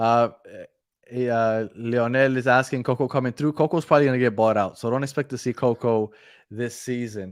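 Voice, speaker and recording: On a very clean recording with a silent background and a dry, close sound with no echo, a man speaks with a Spanish accent. His pitch is medium, his pace fairly quick, and his intonation fairly even. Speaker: football podcast co-host. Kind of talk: live postgame stream chat.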